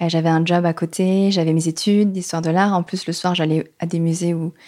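The speech moves at a moderate pace with monotone, flat intonation and very even loudness. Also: woman. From Paris region, France. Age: 20s. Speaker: dance teacher. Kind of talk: interview. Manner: hesitant, many fillers.

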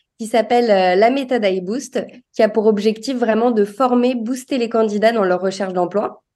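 A woman with a dark, mellow tone talks at a fairly high pitch, her pitch varying in an ordinary way. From Paris, France. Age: 30s. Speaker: recruitment specialist and career coach. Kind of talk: interview. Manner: animated.

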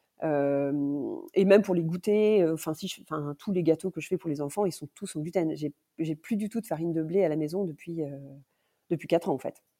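A woman speaks at a moderate pace in a fairly low voice with a dark, mellow tone. Her pitch varies in an ordinary way, and the recording is very clean with a silent background. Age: 40s. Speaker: mother of a child with coeliac disease. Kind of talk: casual interview.

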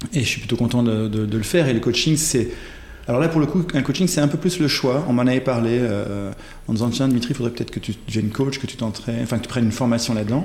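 Through noticeable background noise, a man with a medium pitch talks at a very fast pace with ordinary pitch variation. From Belgium (born in Ghent). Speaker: coach and writer. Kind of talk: interview conversation. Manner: hesitant, many fillers.

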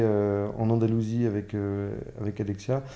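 A man's voice with a dark, mellow tone. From France, Paris. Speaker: entrepreneur. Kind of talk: interview. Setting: on location at his estate. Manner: halting, many repetitions and fillers.

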